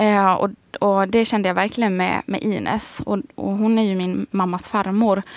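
Female voice at a moderate pace with monotone, flat intonation. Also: medium pitch for a woman. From Sweden, Västerås. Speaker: high school teacher and author. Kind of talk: radio interview.

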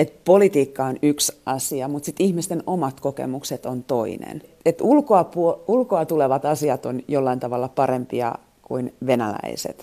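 A woman with a very deep, low pitch speaks at a moderate pace with lively intonation. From Finland. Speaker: foreign correspondent. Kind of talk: interview. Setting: remote from home kitchen.

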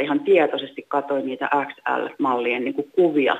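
A woman is speaking. Her voice sits at a very deep, low pitch. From Finland, Uusimaa. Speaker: caller. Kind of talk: phone-in discussion.

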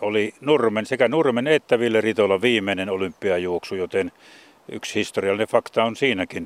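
A man's voice, an unremarkable speaking voice, sits at a fairly low pitch, moving at a moderate pace with ordinary pitch variation. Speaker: sports radio presenter. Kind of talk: casual radio chat, documentary presenter. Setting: outdoors at a cemetery.

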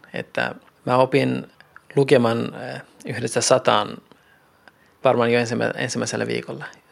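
A man with long, frequent pauses amid noticeable background noise. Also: fairly slow pace. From Iranian Kurdistan, then Finland from age 16. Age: 40s. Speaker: planning manager. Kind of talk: interview testimony.

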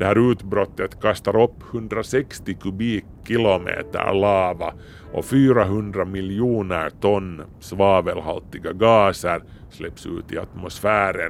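Speaking very slowly, a man uses a fairly low voice with fairly even intonation. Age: 50s. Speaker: science editor, radio host. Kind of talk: scripted narration.

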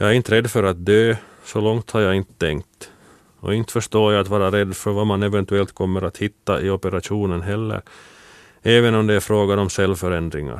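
Recorded very cleanly with a silent background and a dry, close sound with no echo, a man talks at a moderate pace with fairly even intonation. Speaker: former shot putter. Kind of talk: scripted narration.

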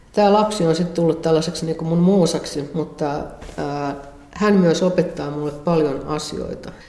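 A woman with a very deep, low pitch speaks in a fairly even intonation, with noticeable background noise and audible room echo. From Finland, Central Ostrobothnia. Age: 60s. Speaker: visual artist. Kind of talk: interview. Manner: casual, hesitant with fillers.

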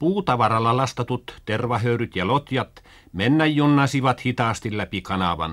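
Lively intonation marks a man's speech, delivered at a fairly slow pace. He has a plain, everyday voice. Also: medium pitch for a man, very clean recording, silent background. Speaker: school radio narrator. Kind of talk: 1950s school radio broadcast, scripted educational narration. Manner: formal, measured, earnest, didactic; plain old-fashioned radio diction, stagey when role-playing with children.

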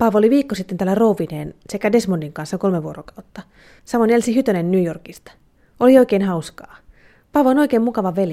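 With lively intonation and a dark, mellow tone, a woman speaks at a fairly quick pace in a medium pitch. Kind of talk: literary letter reading, mother's letter read aloud. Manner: earnest, gently yearning, measured and sentimental.

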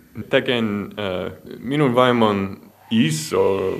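A man talks very slowly while noticeable background noise plays behind him. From US Midwest, Iowa. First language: English (speaking Finnish). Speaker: marine biologist. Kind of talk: interview. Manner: halting in Finnish.

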